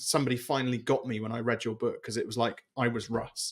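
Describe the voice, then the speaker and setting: With a British accent, a man talks at a fairly quick pace in a very clean recording with a silent background. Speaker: business coach and author. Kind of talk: interview. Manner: halting.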